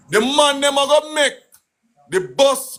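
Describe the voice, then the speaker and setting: Speaking in a Jamaican accent, a man uses an extremely high pitch with an animated, bright, sharp tone. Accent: Jamaican, Patois. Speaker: political live streamer. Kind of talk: political rant on live stream. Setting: live stream. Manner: loud.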